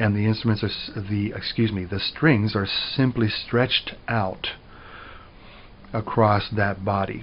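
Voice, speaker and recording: A man uses an ordinary speaking voice with an American accent. He talks at a fairly slow pace and a fairly low pitch. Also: fairly even intonation. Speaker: music professor. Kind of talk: lecture.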